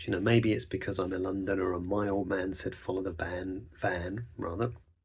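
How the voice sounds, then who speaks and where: A man with an Essex accent speaks in a somewhat breathy voice. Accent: southern English (Essex). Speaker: songwriter podcaster. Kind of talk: reflective podcast monologue. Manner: fast.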